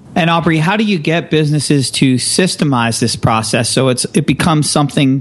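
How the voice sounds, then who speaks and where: With a normal speaking voice and ordinary pitch variation, a man talks at a fairly quick pace. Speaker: radio host. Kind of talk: interview questions.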